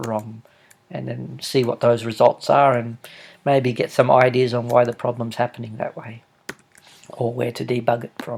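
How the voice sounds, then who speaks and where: The speaker is a man. His accent is Australian. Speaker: software developer. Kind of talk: tutorial. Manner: halting.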